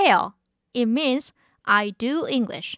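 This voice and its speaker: A high-pitched woman's voice at a very slow pace. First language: Korean. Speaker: language teacher podcast host. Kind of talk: language lesson.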